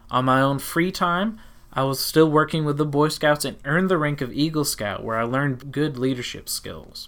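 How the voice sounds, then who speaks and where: A man speaks at a moderate pace with a Southern US accent. The recording is very clean, with a silent background. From Tennessee. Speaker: teacher and podcast host. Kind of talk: personal storytelling, podcast narration.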